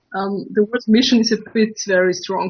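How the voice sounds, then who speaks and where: A woman speaks with an Austrian accent in a somewhat breathy voice, her intonation fairly even. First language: German. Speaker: political video channel host. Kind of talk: interview. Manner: halting, hesitant.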